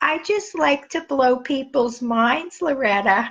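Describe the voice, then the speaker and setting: Putting on a character voice in a New York accent, a woman speaks fairly slowly at a high pitch. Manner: funny, playful.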